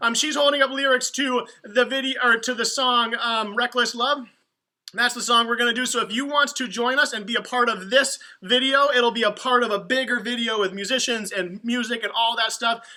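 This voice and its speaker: The speaker uses a raised, projected voice at a fairly quick pace. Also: man, extremely high pitch for a man. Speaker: youth ministry leader. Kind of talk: livestream announcements. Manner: fast; animated.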